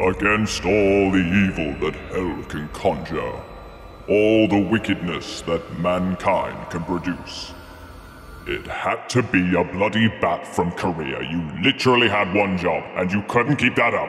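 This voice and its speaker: A man puts on a cartoonish character voice, pitched very deep and low, speaking at a fairly slow pace with a slight echo and clear background noise. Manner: sarcastic, exasperated.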